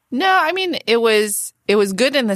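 A woman speaks fairly slowly, and the recording is very clean with a silent background. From California (Palo Alto area). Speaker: venture capitalist. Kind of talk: interview, casual conversation.

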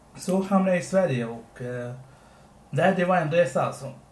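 Audible room echo surrounds a man speaking at a fairly slow pace. His voice is somewhat breathy with ordinary pitch variation. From Sri Lanka, came to Sweden as a child. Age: 20s. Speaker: podcast co-host. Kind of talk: casual chat.

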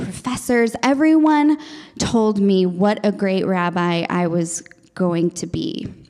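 Very wide pitch swings at a very slow pace, with noticeable background noise. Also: woman. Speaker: storyteller and actress. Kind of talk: casual interview chat.

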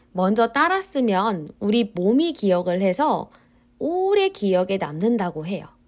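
A woman's normal speaking voice, medium-pitched and lively in intonation, at a fairly slow pace, on a very clean recording with a silent background. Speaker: Korean language teacher. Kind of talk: scripted language-learning podcast monologue. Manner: slow and clear.

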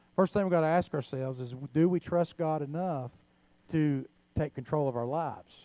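A man's fairly high voice with a dark, mellow tone, ordinary pitch variation and a moderate pace, dry and close with no echo. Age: 50s. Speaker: pastor. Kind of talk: sermon.

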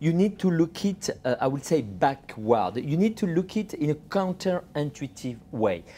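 Speaking with a French accent at a moderate pace and hardly any pauses, the voice comes through a very clean recording with a silent background. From France. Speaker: journalist and author. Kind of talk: interview. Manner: halting.

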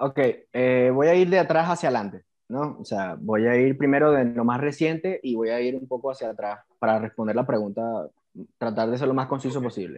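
Speaking fairly quickly with a Venezuelan accent, a man keeps a medium pitch and ordinary pitch variation. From Venezuela, Puerto Ordaz (Bolívar state). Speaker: civil engineer, BIM specialist. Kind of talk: casual interview.

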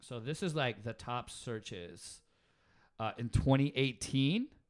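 With ordinary pitch variation and a fairly slow pace, a man speaks in an unremarkable speaking voice. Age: 30s. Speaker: podcast co-host. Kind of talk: casual chat; reading aloud.

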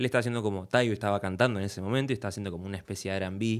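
A man speaks with an Argentine accent and ordinary pitch variation. The recording is very clean, with a silent background. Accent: Rioplatense Argentine Spanish. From Argentina. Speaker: music producer. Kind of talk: casual interview.

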